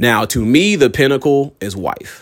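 A man speaks in an animated tone. His pace is fairly slow. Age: 20s. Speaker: podcaster. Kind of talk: casual monologue.

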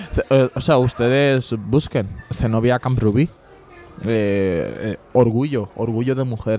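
Noticeable background noise runs behind a man with a Bengali accent. He speaks at a very slow pace and a medium pitch. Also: fairly even intonation. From Bangladesh. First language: Bengali (speaking Spanish). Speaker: immigrant sharing life story. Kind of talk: casual interview. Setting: bar.

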